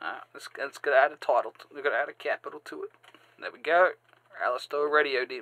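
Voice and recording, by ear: This man talks at a fairly quick pace with a bright, sharp tone. His pitch is medium, with ordinary variation.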